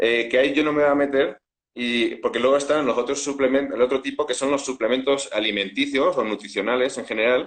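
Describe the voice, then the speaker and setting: This voice carries a Spanish accent. Its delivery is fairly quick. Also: man, medium pitch for a man. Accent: Spanish (Spain) accent, still noticeable. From Spain. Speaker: food scientist and supplement entrepreneur. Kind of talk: interview. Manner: hesitant, many fillers.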